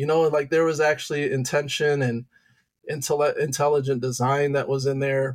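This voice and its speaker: A man with a Midwestern American accent talks at a moderate pace in a fairly high pitch, with monotone, flat intonation and very even loudness. The recording is very clean, with a silent background. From Michigan, Detroit area. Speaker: high school teacher and youth pastor. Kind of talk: testimony.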